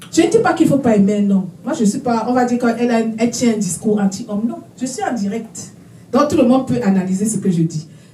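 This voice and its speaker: A woman's animated, very fast speech with audible room echo and noticeable background noise. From Africa. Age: 60s. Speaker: prophetess, preacher. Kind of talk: sermon. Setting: conference with live audience.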